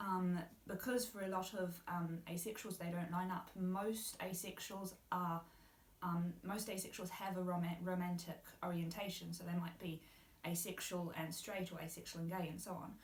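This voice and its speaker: A woman with a New Zealand accent at medium pitch and a moderate pace, flat and monotone, with audible room echo and noticeable background noise. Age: 20s. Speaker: university student, guest speaker. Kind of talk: interview.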